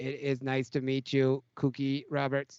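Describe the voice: A man does a put-on character voice that sounds robotic. His intonation is monotone and flat.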